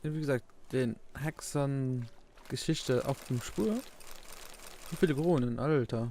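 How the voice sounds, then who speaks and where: With a dark, mellow tone, a man speaks at a very slow pace, leaving long, frequent pauses. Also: medium pitch for a man, ordinary pitch variation. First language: Luxembourgish (speaking German). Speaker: let's play gamer. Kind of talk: gameplay commentary. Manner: halting.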